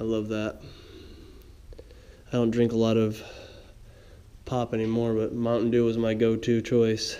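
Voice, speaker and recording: A man speaks at a fairly slow pace with monotone, flat intonation. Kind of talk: casual vlog commentary. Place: home room. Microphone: phone near.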